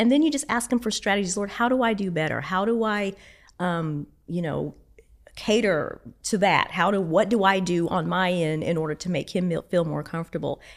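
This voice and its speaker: A woman speaks at a medium pitch and moderate pace, with ordinary pitch variation. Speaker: church administrator, marriage class teacher. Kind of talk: casual chat. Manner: animated.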